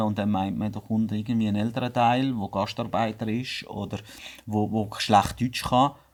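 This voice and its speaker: This man speaks with a Swiss German accent. His pitch is fairly low and his pace moderate. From Switzerland. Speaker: business owner. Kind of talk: podcast interview.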